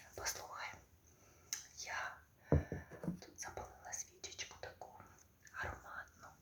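Whispering at a very slow pace, a woman leaves long, frequent pauses over noticeable background noise. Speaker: ASMR creator. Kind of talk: ASMR whisper roleplay, casual talk to a friend. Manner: whispered, soft, intimate.

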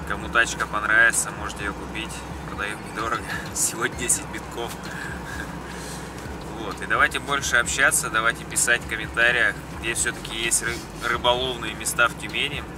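A man speaks with long, frequent pauses, the sound dry with no echo but with noticeable background noise. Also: moderate pace. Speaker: vlogger. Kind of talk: casual vlog chat. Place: car. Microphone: phone near.

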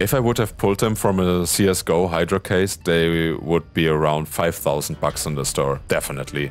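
A man speaking at a moderate pace with music in the background. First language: not English (non-native speaker). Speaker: gaming youtuber. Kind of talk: gameplay commentary. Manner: animated, joking.

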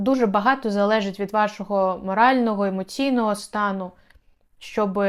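In a very clean recording with a silent background, a woman with an unremarkable speaking voice talks at a moderate pace in a medium pitch with fairly even intonation. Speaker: video blogger and relocation consultant. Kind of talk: informational video tutorial.

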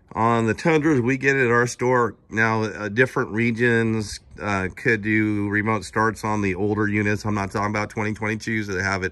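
A man speaks at a moderate pace with a bright, sharp tone and a fairly low pitch, keeping his intonation fairly even and hardly pausing at all. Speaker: car salesman. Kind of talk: casual vehicle walkaround commentary. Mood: relaxed, conversational. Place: street. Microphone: phone near.

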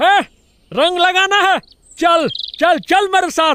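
Pitched extremely high, the voice is a cartoonish character voice. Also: moderate pace. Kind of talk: cartoon comedy voice acting.

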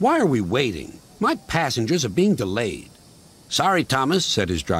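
The text is read aloud in a natural voice.

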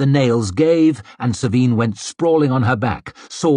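This is plain reading aloud. Its pitch rises and falls by ordinary amounts.

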